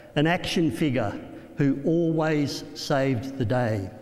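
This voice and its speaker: The voice carries an Australian accent. There is audible room echo and noticeable background noise. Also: man. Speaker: motivational speaker. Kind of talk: keynote speech.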